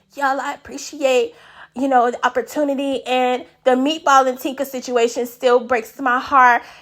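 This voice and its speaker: A woman puts on a raspy, high-pitched character voice, speaking at a moderate pace in a flat monotone over a very clean recording with a silent background. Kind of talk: casual, colloquial.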